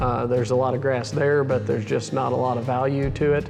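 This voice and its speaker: With music in the background, a man with an American accent speaks in a flat monotone. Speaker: cattle rancher, managing partner of seed stock operation. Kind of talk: interview answer.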